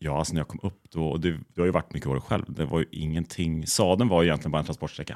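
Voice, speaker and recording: On a very clean recording with a silent background and a dry, close sound with no echo, a man speaks at a very fast pace with a very deep, low pitch and vocal fry. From Bohuslän, west coast Sweden. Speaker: photographer. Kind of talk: casual interview chat.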